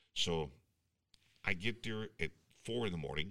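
A man with a very deep, low voice and an American accent sounds animated, his tone bright and sharp and his pitch variation ordinary. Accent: Mexican American English, Texas. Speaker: radio announcer. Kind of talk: casual chat. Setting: studio.

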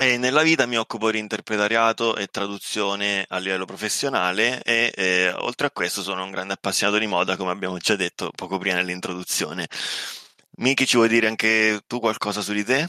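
A man with a fairly low pitch and a bright, sharp tone speaks at a fairly quick pace with ordinary pitch variation, recorded dry and close with no echo. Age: 20s. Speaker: podcast co-host and professional interpreter. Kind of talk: casual chat.

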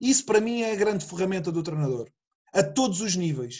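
A man talks with very wide swings in pitch. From Portugal, Setúbal district. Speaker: football coach. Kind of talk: casual interview.

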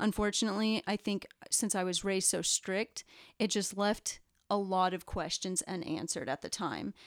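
A woman's plain, everyday voice at medium pitch, moderate pace and fairly even intonation, in a dry, close sound with no echo. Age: 20s. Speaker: church member sharing testimony. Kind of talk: testimony. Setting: recorded podcast.

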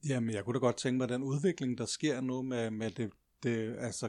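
A man with a plain, everyday voice talks at a fairly quick pace and a medium pitch with ordinary pitch variation against a quiet background. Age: 50s. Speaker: living history practitioner and craftsman. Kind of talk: casual interview conversation.

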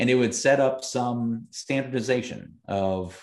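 A man speaks at a very slow pace with ordinary pitch variation against a quiet background. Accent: Midwestern American. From Central Ohio, suburbs of Columbus. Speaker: agricultural policy director. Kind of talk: interview. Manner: hesitant fillers (um, uh, you know).

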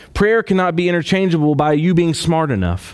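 This is a man talking. He has a Kentucky accent. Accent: Kentucky Southern US. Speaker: pastor. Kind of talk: sermon.

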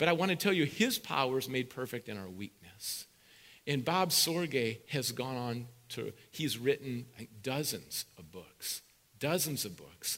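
A man with a normal speaking voice at a medium pitch, lively intonation and a fairly slow pace. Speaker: pastor. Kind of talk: sermon. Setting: church.

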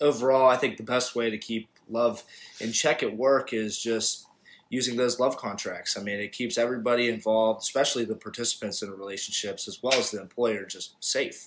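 A man talks in an ordinary speaking voice at a medium pitch. His intonation is fairly even and his pace fairly quick. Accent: American. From Pittsburgh area, Pennsylvania. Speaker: student podcast co-host. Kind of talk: casual panel discussion.

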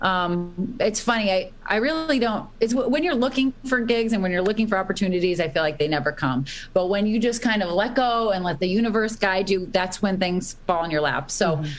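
A woman with an American accent talks in a plain, everyday voice at medium pitch, fairly quick and with hardly any pauses, keeping very even loudness and lively intonation. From Boston, Massachusetts. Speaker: rock guitarist. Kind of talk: casual interview.

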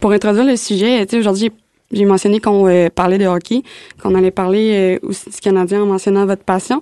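A woman with a dark, mellow tone speaks at medium pitch and a moderate pace. Her intonation is fairly even, and the sound is dry and close with no echo. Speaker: student podcast host. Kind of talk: casual chat.

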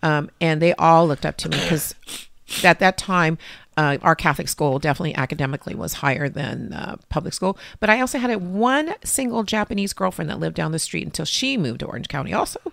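A woman's very fast speech with vocal fry, fairly low pitch and lively intonation, with an American accent, on a very clean recording with a silent background. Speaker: breast cancer survivor and adoptive mother. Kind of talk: interview testimony. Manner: chatty storyteller, laughs often.

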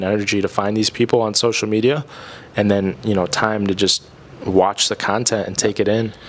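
Noticeable background noise sits behind a man's fairly low voice. He speaks at a moderate pace in a flat monotone. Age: 20s. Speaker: podcast co-host. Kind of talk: casual chat.

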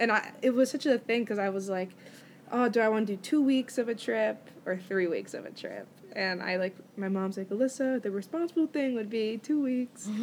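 In an ordinary speaking voice, a woman with an American accent talks at a fairly quick pace and a fairly high pitch, with ordinary pitch variation. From United States. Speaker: podcast host. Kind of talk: casual chat.

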